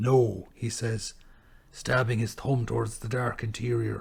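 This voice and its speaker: A man speaks at a medium pitch in an Irish accent. His intonation is monotone and flat, and his voice is somewhat breathy. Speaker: poet. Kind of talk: poetry reading.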